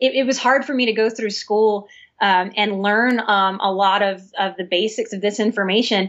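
Here is an ordinary speaking voice with an American accent. The pace is moderate and the intonation fairly even. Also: woman, medium pitch for a woman. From US South, New Orleans. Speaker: licensed professional counselor. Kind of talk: interview.

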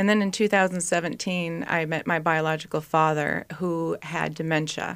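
A woman with an ordinary speaking voice and an American accent speaks in a fairly low pitch with fairly even intonation and hardly any pauses. The recording is very clean, with a silent background. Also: moderate pace. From Minnesota. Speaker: travel company founder and nurse. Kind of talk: radio interview.

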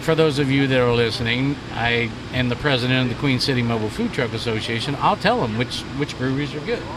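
A man talks at a fairly quick pace with a medium pitch and ordinary pitch variation. There is noticeable background noise. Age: 50s. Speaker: chef and food truck association leader. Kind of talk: casual chat. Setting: outdoors at a food truck park.

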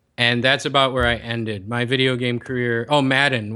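A man's bright, sharp tone at a fairly quick pace. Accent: American. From US Midwest, Chicago. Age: 30s. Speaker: health coach. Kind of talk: casual interview.

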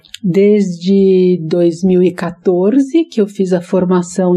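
Somewhat breathy and medium in pitch, a woman's voice carries a dark, mellow tone. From Brazil, São Paulo. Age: 60s. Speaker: psychologist and author. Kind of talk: interview.

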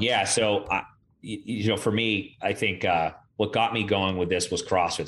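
Against a silent background in a very clean recording, a man with a normal speaking voice talks at a fairly low pitch with fairly even intonation. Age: 30s. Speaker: strength coach. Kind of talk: casual chat.

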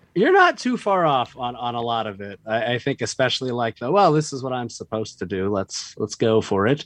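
A man with an American accent speaks in a plain, everyday voice at medium pitch, moving at a fairly quick pace with lively intonation and hardly any pauses. The sound is dry and close with no echo, over a quiet background. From Boise, Idaho. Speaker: comedian. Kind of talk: casual chat. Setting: video call.

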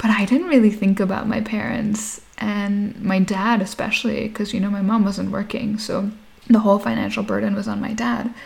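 Against noticeable background noise, a woman speaks at a medium pitch and moderate pace, her intonation fairly even. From Nigeria, Lagos, Indian Sindhi family, later Canada. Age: 30s. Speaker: entrepreneur, founder of a natural foods company. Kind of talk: interview. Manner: casual, many filler words.

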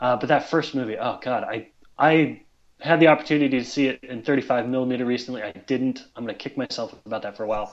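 Against a quiet background, a man with an ordinary speaking voice talks fairly quickly at a medium pitch, with ordinary pitch variation and big swings in loudness. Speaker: writer. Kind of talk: casual chat.

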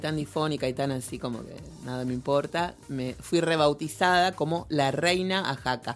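Over music in the background, the speaker moves at a moderate pace with hardly any pauses, in a Rioplatense accent. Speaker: podcast host. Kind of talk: casual chat.

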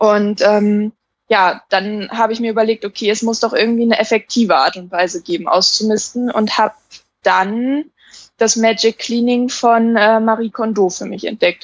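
Speaking at a moderate pace, a woman uses a normal speaking voice, fairly high in pitch with ordinary pitch variation. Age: 20s. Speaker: minimalism blogger. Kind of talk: casual chat.

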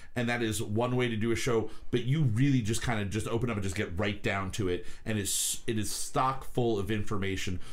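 A man with an unremarkable speaking voice talks at a fairly quick pace, with fairly even intonation and hardly any pauses. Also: medium pitch for a man. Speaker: podcast host. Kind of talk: casual chat podcast. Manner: rambling, informal, joking.

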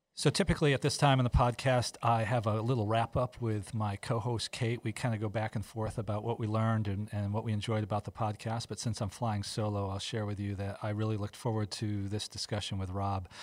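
A man with a normal speaking voice and fairly low pitch talks at a fairly quick pace with hardly any pauses. His intonation is fairly even, and the recording is very clean with a silent background. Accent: American. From US East Coast. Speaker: hospital administrator and podcast host. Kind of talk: casual interview.

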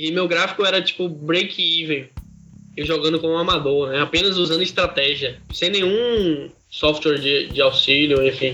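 A man talks at a moderate pace with a high pitch. His pitch variation is ordinary. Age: 20s. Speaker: professional online poker player. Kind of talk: podcast interview.

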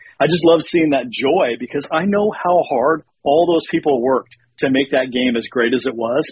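This man, with an American accent, has a fairly high pitch and ordinary pitch variation. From Washington state, US. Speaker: pinball developer. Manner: excited, animated.

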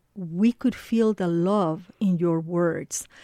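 Heard in a dry, close sound with no echo, the voice carries a dark, mellow tone. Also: woman. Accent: non-native. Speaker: radio host. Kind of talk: radio interview. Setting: studio.

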